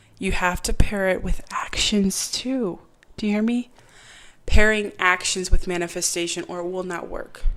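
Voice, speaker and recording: At a moderate pace, a woman talks at a medium pitch with fairly even intonation. Her loudness swings a lot. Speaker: podcast host. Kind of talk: casual podcast monologue. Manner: serious, earnest.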